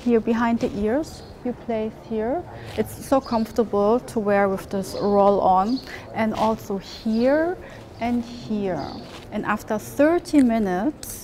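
Light background noise sits behind a woman who talks very slowly with ordinary pitch variation. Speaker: travel vlogger. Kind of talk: sponsored product presentation. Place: street. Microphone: lapel.

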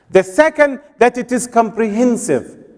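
Over a quiet background, a man with an Arabic accent speaks at an extremely high pitch. He keeps a moderate pace and ordinary pitch variation. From Egypt. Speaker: preacher. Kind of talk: sermon. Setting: mosque with congregation. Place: church. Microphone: podium.

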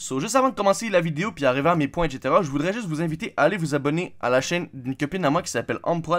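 A man talks at a very fast pace with lively intonation. The recording is very clean, with a silent background. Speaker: gaming YouTuber. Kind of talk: casual channel update vlog. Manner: hesitant, many fillers.

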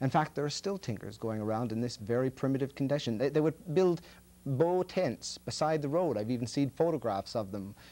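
At a fairly quick pace, a man speaks in a dark, mellow tone with lively intonation. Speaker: storyteller and TV host. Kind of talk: TV show introduction to a story. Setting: studio. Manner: casual, conversational. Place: studio. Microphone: lapel.

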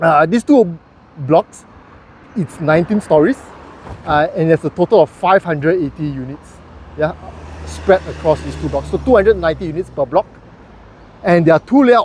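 A man at a fairly slow pace, with long, frequent pauses, light background noise and a dry sound with no echo. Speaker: property reviewer. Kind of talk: casual vlog commentary. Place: street. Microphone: phone near.

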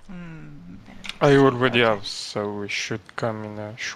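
The speaker talks with a French accent. Background noise is noticeable. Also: moderate pace. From France. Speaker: gamer in a livestreamed raid group.

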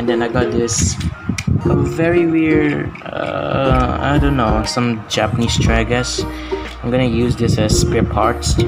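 A man talks at a fairly slow pace. Loud music plays behind him. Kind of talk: casual haul review. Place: home room. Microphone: phone near.

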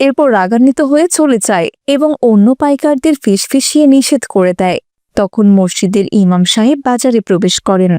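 At a fairly quick pace, a woman with a fairly high pitch speaks in a dark, mellow tone with ordinary pitch variation, the sound dry and close with no echo.

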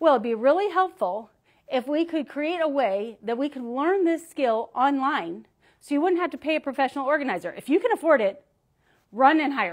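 The woman's voice is high-pitched, with very wide pitch swings. She keeps a moderate pace against a quiet background. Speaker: founder and organizing coach. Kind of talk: casual livestream presentation. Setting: live video stream. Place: studio.

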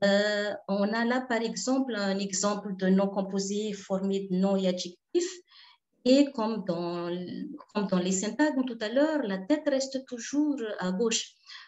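A woman with a Malagasy accent, very slow pace and ordinary pitch variation, against a quiet background. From Madagascar. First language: Malagasy (speaking French). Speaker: linguistics researcher; conference presenter. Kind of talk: conference talk; lecture. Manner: halting. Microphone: webcam.

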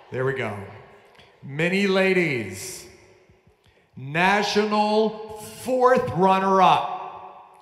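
A man with an upbeat tone and lively intonation, very slow with long, frequent pauses, in audible room echo. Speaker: awards ceremony announcer. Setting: stage with audience. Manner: upbeat, emotionally invested, pausing to praise and console the young dancers. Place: stage.

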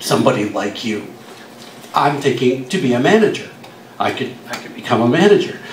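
A man's moderately paced speech amid light background noise and audible room echo. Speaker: guest. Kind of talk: storytelling panel talk. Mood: humorous, relaxed. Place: bar. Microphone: camera far.

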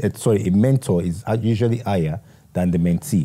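A man with a fairly low pitch talks at a moderate pace with ordinary pitch variation. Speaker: interview guest. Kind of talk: interview answer. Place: home room. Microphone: lapel.

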